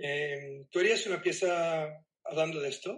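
Ordinary pitch variation from a man, at a fairly slow pace. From US Northeast (New Jersey, New York), born in Cuba. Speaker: artist. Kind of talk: interview.

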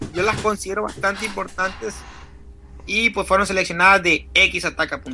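A man with a high voice speaks in a raised, projected way, his intonation fairly even, with long, frequent pauses and noticeable background noise. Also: moderate pace. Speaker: podcast co-host. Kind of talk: casual chat. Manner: halting. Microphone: built-in Mac laptop mic.

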